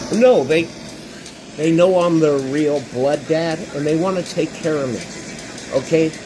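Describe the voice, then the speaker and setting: Noticeable background noise runs under a man speaking at a fairly slow pace with long, frequent pauses. His pitch is fairly high, with ordinary variation. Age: 60s. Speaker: live streamer. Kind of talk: casual chat.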